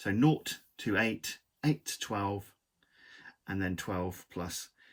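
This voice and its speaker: A man's somewhat breathy voice comes through in a very clean recording with a silent background. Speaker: model-making tutor. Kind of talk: live-stream craft tutorial. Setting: live stream from home studio. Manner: halting, tripping over words; casual, chatty.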